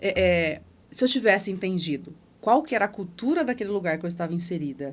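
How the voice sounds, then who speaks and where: A woman's animated, fairly quick delivery in a strong São Paulo interior accent. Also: medium pitch for a woman, lively intonation. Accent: strong inland São Paulo. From interior of São Paulo state, Brazil. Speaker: former bank manager, entrepreneur. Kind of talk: podcast interview, personal storytelling.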